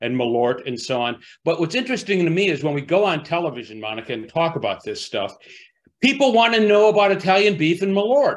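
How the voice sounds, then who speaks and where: The man's voice makes very wide pitch swings. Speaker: food writer and author. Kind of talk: virtual book talk. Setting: video call. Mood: relaxed, amused. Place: home room. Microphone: video call.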